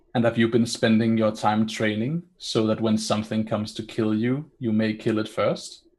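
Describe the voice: The speaker is reading aloud. It is plain reading aloud.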